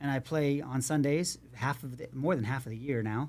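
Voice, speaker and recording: In an unremarkable speaking voice, a man talks at a medium pitch and shows ordinary pitch variation. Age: 50s. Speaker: youth sports coach and podcast host. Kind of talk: casual interview chat.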